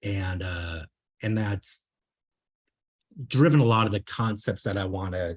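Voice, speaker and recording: A man with a very deep, low pitch and a slight Minnesota accent speaks somewhat breathily with ordinary pitch variation and long, frequent pauses, on a very clean recording with a silent background. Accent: slight Minnesota accent, long O's. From Minnesota, US. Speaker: software consultant and coach. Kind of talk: meetup talk. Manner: hesitant, many fillers.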